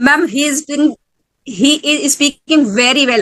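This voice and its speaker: Bright and sharp in tone, a woman with an Indian accent speaks at a high pitch with ordinary pitch variation, in a dry, close sound with no echo. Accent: Indian accent from native language. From India, Madhya Pradesh (Sagar district). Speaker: school teacher, English learner. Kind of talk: conversation practice. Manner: halting, many fillers; slow.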